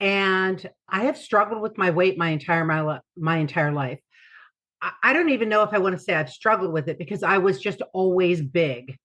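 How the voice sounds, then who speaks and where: A woman talks at a moderate pace with lively intonation and medium pitch. It is an ordinary speaking voice, heard against a quiet background. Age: 60s. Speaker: patient sharing weight-loss story. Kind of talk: testimony.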